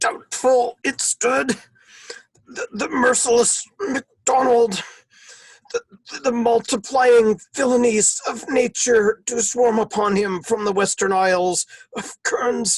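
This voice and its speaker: Using a put-on character voice pitched extremely high, a man talks at a fairly slow pace with ordinary pitch variation. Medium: stage play.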